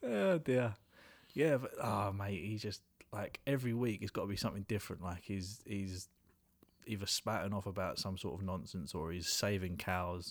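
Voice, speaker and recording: On a very clean recording with a silent background, a man speaks in a fairly low pitch at a moderate pace with ordinary pitch variation. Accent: British. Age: 30s. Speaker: podcast host. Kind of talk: casual chat.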